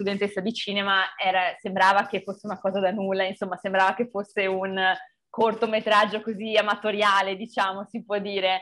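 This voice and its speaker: Bright and sharp in tone, a woman speaks at a very fast pace with monotone, flat intonation. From Veneto, Italy (Montebelluna); Veneto, Italy. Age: 20s. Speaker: film director; interviewee. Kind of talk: interview. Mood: cheerful, smiling. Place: home room. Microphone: video call.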